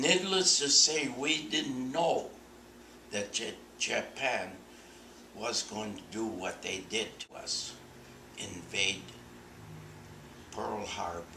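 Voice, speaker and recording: A man at a very slow pace and medium pitch, with very wide pitch swings, long and frequent pauses, audible room echo and noticeable background noise. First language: Czech. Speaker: oral history interviewee. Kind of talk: oral history interview. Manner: halting.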